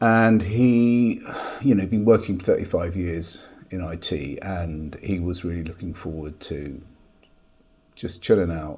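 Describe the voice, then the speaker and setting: A man's very deep, low voice at a fairly slow pace, with ordinary pitch variation, big swings in loudness and noticeable background noise. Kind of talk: casual talk to camera.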